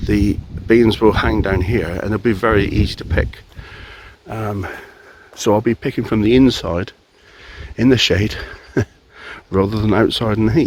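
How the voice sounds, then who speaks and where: A man at a fairly slow pace and fairly low pitch, with noticeable background noise. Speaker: home gardener. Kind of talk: casual gardening talk to camera.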